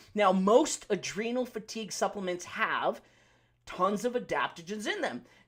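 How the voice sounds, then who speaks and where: A man's voice with a high pitch. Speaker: pharmacist and naturopathy practitioner giving health talk. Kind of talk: live Q&A health talk. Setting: livestream. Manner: fast; loud.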